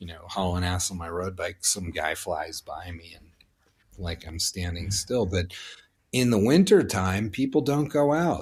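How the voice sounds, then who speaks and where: A man's very deep, low voice, somewhat breathy, with lively intonation, big swings in loudness and a fairly slow pace, on a very clean recording with a silent background. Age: 50s. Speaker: former snowboard racer and industry figure. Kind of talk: casual podcast interview. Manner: animated.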